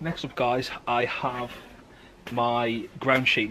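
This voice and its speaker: Amid light background noise, a man with a British accent and a bright, sharp tone speaks at a medium pitch in a monotone, flat intonation. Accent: regional British dialect. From United Kingdom. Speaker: bushcraft enthusiast. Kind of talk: casual talk to camera. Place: garden. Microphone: camera far.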